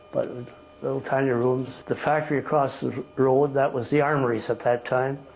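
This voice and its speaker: Over noticeable background noise, a man speaks at a moderate pace in a monotone, flat delivery. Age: 80s+. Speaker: family elder recounting life history. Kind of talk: interview answer. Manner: reminiscing, rambling.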